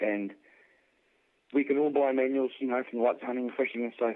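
A man speaks at a moderate pace with a New Zealand accent and fairly even intonation. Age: 40s. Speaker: ammunition reloader and hunter. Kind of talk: casual interview. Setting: phone call.

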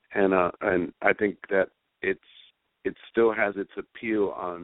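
A very deep, low male voice in an American accent, flat and monotone. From New York, Spanish Harlem. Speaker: freestyle singer and songwriter. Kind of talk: radio interview.

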